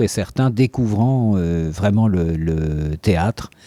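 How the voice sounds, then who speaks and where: A man talks at a very slow pace in a dark, mellow tone. The recording is very clean, with a silent background. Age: 60s. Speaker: amateur actor and musician. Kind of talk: interview testimony. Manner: halting, many hesitations and repetitions.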